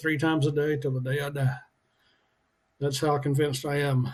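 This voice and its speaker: A man speaks at a moderate pace in a fairly high pitch. His voice is somewhat breathy, with monotone, flat intonation. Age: 60s. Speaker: fitness and weight loss vlogger. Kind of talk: casual video diary. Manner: halting with many fillers.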